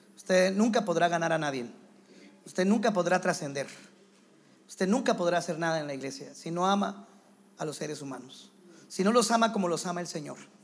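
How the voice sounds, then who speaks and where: Over audible room echo, a man with a high pitch talks at a fairly quick pace, using ordinary pitch variation and long, frequent pauses. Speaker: visiting pastor and teacher. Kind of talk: sermon. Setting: church with congregation.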